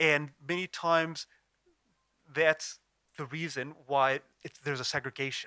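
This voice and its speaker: With an American accent, a man speaks in a fairly high pitch and fairly even intonation, his tone bright and sharp in a dry, close sound with no echo. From California, USA (born in Chile). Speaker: conference presenter, sport development practitioner. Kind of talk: conference Q&A answer. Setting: conference auditorium. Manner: many filler sounds and self-corrections.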